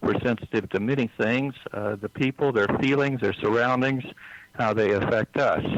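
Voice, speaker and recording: An American accent from a man, with fairly even intonation, very even loudness and noticeable background noise. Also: medium pitch for a man, moderate pace, dry, close sound with no echo. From US South, East Texas. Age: 60s. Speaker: psychic healer. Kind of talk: interview. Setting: phone call. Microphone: cell phone line.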